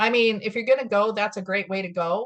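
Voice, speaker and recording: This is a woman with a medium pitch and ordinary pitch variation. Hers is an unremarkable speaking voice. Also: quiet background. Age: 50s. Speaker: wellness coach. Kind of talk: interview.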